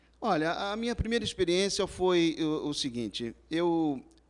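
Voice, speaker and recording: A man talks at a fairly slow pace with very wide pitch swings. The recording is very clean, with a silent background. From Rio de Janeiro, Brazil. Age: 50s. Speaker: businessman, civil engineer. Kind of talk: interview. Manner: halting.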